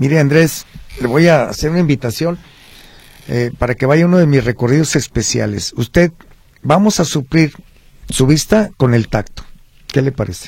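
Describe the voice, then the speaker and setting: Somewhat breathy and fairly high in pitch, a man speaks at a moderate pace with ordinary pitch variation and long, frequent pauses. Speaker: historical researcher. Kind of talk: radio interview.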